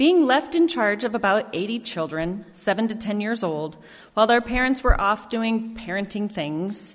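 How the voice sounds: Here is a natural reading voice with lively intonation.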